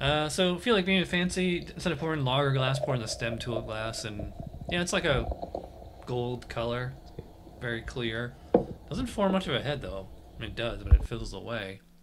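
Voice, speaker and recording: A man at a moderate pace, with long, frequent pauses over loud background noise. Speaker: beer reviewer host. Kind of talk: casual review chat. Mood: relaxed, friendly. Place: home room. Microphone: studio mic.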